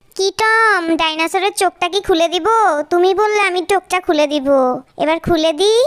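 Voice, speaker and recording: Using a put-on character voice, the speaker talks at an extremely high pitch and a moderate pace. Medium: dub.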